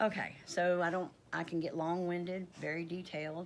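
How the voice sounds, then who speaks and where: A woman speaks in a Southern US accent at a fairly slow pace. Her pitch is fairly low for a woman. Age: 50s. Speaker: homesteading vlogger. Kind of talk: casual vlog. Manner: halting, with stutters and fillers.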